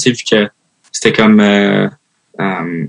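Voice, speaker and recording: A man talks with ordinary pitch variation. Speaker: hockey player. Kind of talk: interview. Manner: casual, many fillers.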